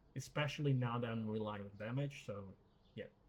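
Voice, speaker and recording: A man speaks at a moderate pace and medium pitch. His voice is somewhat breathy, with ordinary pitch variation. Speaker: gaming youtuber. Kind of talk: gameplay commentary. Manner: casual, many fillers and repeats; mumbling.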